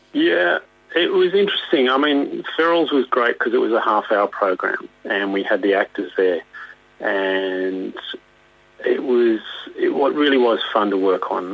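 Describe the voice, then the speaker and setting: Over noticeable background noise, a man speaks at a moderate pace with very even loudness. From Australia. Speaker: puppeteer. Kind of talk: interview answer. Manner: hesitant, casual.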